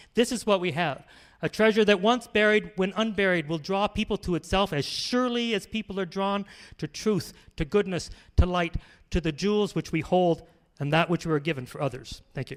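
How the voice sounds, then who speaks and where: This man has a Canadian accent and a high pitch with ordinary variation. His delivery is animated and fairly quick, in a very clean recording with a silent background. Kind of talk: lecture; audience Q&A. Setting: conference with audience. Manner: fast.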